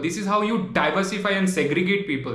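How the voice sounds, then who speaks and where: A man's high voice with a Bengali accent at a moderate pace, with audible room echo and noticeable background noise. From Tripura, Northeast India. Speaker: travel vlogger. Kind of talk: video monologue response to critics. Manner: animated.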